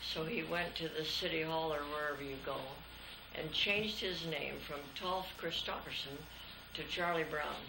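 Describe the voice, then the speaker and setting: Over noticeable background noise and audible room echo, a woman with an American accent talks at a moderate pace in a very deep, low voice with fairly even intonation. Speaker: grandmother telling family history. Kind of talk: casual family interview.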